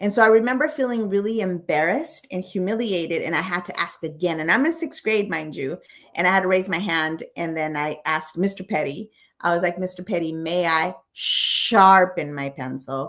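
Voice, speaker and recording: The speaker is a woman with a medium pitch. She talks at a moderate pace with lively intonation. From San Diego, California (from age 11, born in Mexico). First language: Spanish. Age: 50s. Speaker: comedian. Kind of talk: interview storytelling. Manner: hesitant, repeated words.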